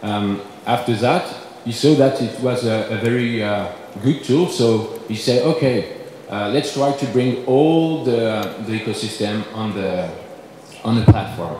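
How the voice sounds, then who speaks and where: A man's medium-pitched voice with a French accent at a fairly slow pace, with ordinary pitch variation, audible room echo, and noticeable background noise. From France. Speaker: company representative. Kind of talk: conference presentation. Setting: conference panel. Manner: halting, many fillers.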